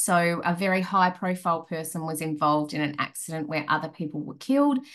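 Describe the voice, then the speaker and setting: A woman speaks in a fairly low pitch. The background is quiet. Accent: Australian. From rural Australia. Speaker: crisis management consultant. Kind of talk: interview. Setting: remote call.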